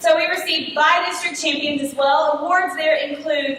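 A woman talks loudly at a moderate pace in a high voice with a Texan accent, her intonation monotone and flat, with audible room echo and noticeable background noise. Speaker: theatre teacher. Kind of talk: speech at a public meeting.

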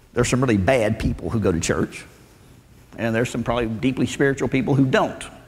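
A man with a Southern US accent talks at a fairly quick pace. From Arkansas, US South. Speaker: preacher and Bible professor. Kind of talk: sermon. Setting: church with audience. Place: church. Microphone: lapel.

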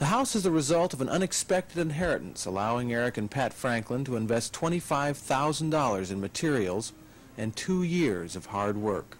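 His pitch swings very widely as a man talks at a moderate pace. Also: medium pitch for a man. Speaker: reporter. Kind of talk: 1970s-80s documentary-style news narration, polished and scripted. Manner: measured, formal, steady broadcaster delivery.

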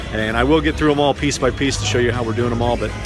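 Music plays in the background behind a man speaking. His voice sounds dry, with no echo. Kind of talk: casual vlog chat. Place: stadium. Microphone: headset.

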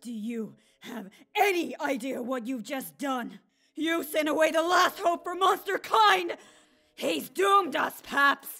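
A put-on character voice pitched high, delivered at a fairly slow pace. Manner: aggressive, shouting.

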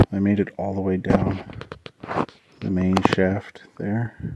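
Amid loud background noise, a man's voice comes through with a dry sound and no echo. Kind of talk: casual vlog chat. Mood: lonely, slightly uneasy. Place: tunnel cave. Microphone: phone near.

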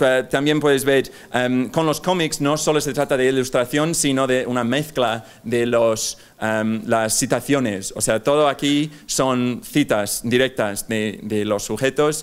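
This man speaks at a fairly slow pace with hardly any pauses, in an English accent. His pitch sits at a medium level and varies in an ordinary way. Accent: English accent in Spanish, non-native. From England. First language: English (speaking Spanish). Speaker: speaker, journalist. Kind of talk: conference talk. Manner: halting, many fillers. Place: hall. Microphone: podium.

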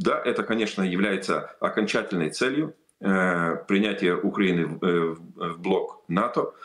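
A man speaks very slowly, with only quiet in the background. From Lithuania. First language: Lithuanian (speaking Russian). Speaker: politician. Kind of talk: interview. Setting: remote video link. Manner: halting. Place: home room. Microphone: video call.

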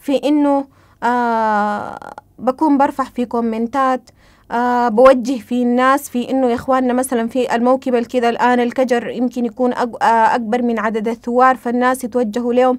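A woman speaks at a high pitch and a moderate pace. Her intonation is monotone and flat, and the background is quiet. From Sudan. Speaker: interviewee. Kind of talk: testimony. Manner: hesitant, many fillers. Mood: calm, reflective. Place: home room.

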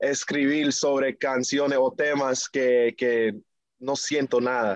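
A man with an American accent is heard in a dry sound with no echo over a quiet background. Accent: marked American English accent in Spanish. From New York, US, Dominican family. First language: English (speaking Spanish). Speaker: reggaeton singer; guest. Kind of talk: interview; interview answer. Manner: halting, many fillers. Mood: friendly, smiling. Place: home room. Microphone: video call.

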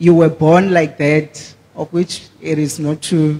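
Slow and dark, a man's mellow voice sits fairly high in pitch and shows little pitch movement.

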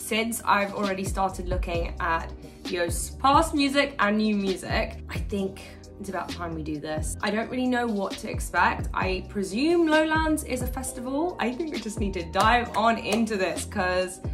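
A woman talks at a moderate pace with clear music in the background. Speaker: reaction video creator. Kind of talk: casual vlog chat. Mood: cheerful, excited. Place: home room.

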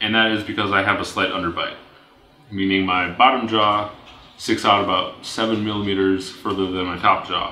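The delivery is monotone and flat at a moderate pace. Light background noise and audible room echo are present. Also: man, fairly low pitch for a man. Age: 20s. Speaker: vlogger. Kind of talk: personal video blog monologue. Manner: hesitant with fillers and repetitions. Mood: calm, friendly. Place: home room.

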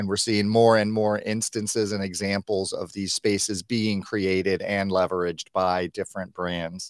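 A man with a fairly low pitch talks in a monotone, flat way at a moderate pace, the sound dry with no echo and the background quiet. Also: hardly any pauses. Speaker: digital marketing consultant; guest. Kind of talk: live stream interview. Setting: video call. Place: home room. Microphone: webcam.

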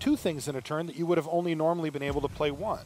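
Over noticeable background noise, a man speaks in a high pitch with an energetic, upbeat tone. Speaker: esports commentator. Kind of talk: live esports commentary. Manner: play-by-play, energetic and fluent; upbeat, narrating each turn in real time.

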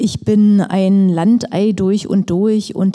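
A slow pace and a dark, mellow tone. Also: woman.

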